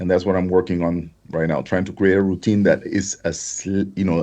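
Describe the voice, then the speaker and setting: Over a quiet background, a man with a Spanish accent speaks at a moderate pace, his fairly low voice dark and mellow in tone. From Honduras. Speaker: affiliate marketer. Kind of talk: interview.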